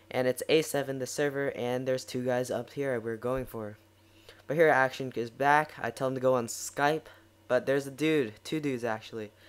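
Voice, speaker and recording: A man with an ordinary speaking voice talks at a medium pitch and moderate pace, his intonation fairly even. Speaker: gaming commentator. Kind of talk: gameplay commentary. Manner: casual.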